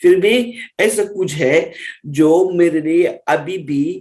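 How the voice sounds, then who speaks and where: A man talks with ordinary pitch variation. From Russia. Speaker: Hindi teacher. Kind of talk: interview.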